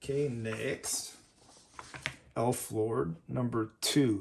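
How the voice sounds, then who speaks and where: Very slowly, a man speaks against noticeable background noise. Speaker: comic collector YouTuber. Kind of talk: unboxing commentary.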